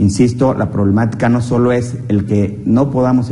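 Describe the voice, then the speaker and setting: The voice moves at a moderate pace with fairly even intonation. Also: man. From Mexico. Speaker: program host, accountant. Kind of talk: TV interview. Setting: studio. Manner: halting, many fillers. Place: studio. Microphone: lapel.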